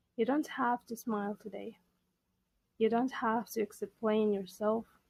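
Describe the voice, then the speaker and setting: Soft-spoken and calm, a woman with a fairly high pitch and fairly even intonation sounds dry and close, with no echo. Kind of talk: soft-spoken English-learning podcast monologue. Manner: slow, soft, calm.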